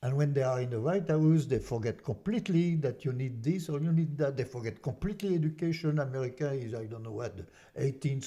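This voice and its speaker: At a fairly quick pace, a man speaks with lively intonation and a dark, mellow, somewhat breathy tone. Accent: French. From France. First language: French. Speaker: artist and activist. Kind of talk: casual interview. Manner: halting, many repetitions.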